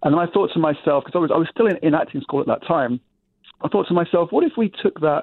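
At a very fast pace and very even loudness, a man with an English accent speaks at a high pitch with ordinary pitch variation. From England, London. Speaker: walking tour company owner. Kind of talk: interview.

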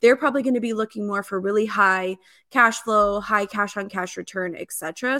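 In an American accent, a woman speaks at a fairly quick pace in a bright, sharp tone, recorded very cleanly against a silent background with a dry, close sound and no echo. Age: 30s. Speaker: real estate investor. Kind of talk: interview.

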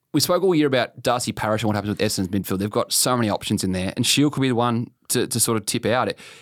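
Talking at a very fast pace, a man with an Australian accent uses a fairly low pitch in a very clean recording with a silent background. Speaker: football journalist, podcast co-host. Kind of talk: casual chat. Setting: studio, face to face.

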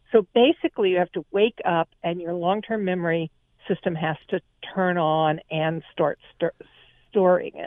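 At a moderate pace, a woman with an unremarkable speaking voice talks with fairly low pitch and fairly even intonation. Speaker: psychology professor. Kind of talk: interview.

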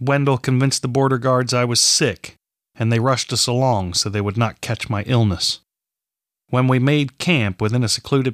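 An ordinary speaking voice at a moderate pace, with ordinary pitch variation, comes through a very clean recording with a silent background and a dry, close sound with no echo. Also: man. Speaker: audiobook narrator and author. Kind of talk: dramatic fiction narration, read aloud. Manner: measured, storytelling cadence, with tension and emotion in the tone.

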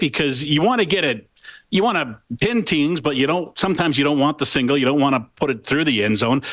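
An ordinary speaking voice moves at a fairly quick pace with lively intonation. The background is quiet. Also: man, very even loudness. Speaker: sports radio host. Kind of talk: radio show. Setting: studio.

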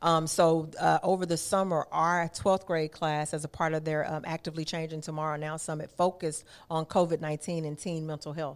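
On a very clean recording with a silent background, a woman with an American accent talks at a fairly quick pace in a very deep, low pitch. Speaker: youth nonprofit executive director. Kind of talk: interview. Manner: animated.

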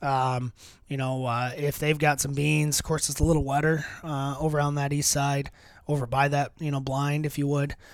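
With an American accent, a man speaks at a fairly high pitch in a monotone, flat intonation on a very clean recording with a silent background. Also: moderate pace. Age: 30s. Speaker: deer hunter and land manager. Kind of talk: casual chat. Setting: outdoors on location. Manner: halting, many fillers.

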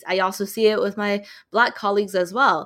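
In a Californian accent, a woman speaks at a fairly quick pace and medium pitch on a very clean recording with a silent background. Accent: Californian American. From Southern California (Loma Linda), Chinese Malaysian family. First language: Mandarin Chinese. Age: young. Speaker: emergency medicine resident physician. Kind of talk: interview conversation.

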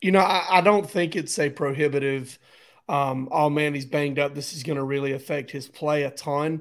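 A man with a fairly high pitch and ordinary pitch variation talks at a moderate pace, in an unremarkable speaking voice. The recording is very clean, with a silent background. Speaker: sports podcast co-host. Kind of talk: casual sports talk.

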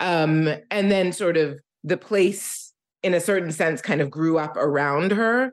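A woman with an American accent over a quiet background. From US Northeast, Philadelphia. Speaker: novelist. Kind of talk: author interview.

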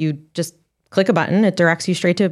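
At a very fast pace, a woman talks at medium pitch with ordinary pitch variation. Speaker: travel editor and digital content director. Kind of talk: casual chat. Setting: studio. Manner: fast talker.

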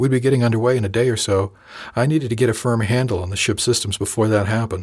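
What we hear is plain reading aloud.

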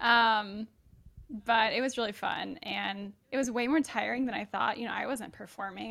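Bright and sharp in tone, a woman's voice carries vocal fry. She keeps a moderate pace and fairly even intonation. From Atlanta, Georgia. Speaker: former biomedical engineer. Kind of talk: casual interview chat.

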